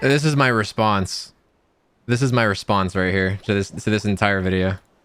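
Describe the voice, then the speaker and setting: Music plays in the background as a man talks with a fairly low pitch, ordinary pitch variation and very even loudness. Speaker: streamer. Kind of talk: casual livestream reaction. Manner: fast.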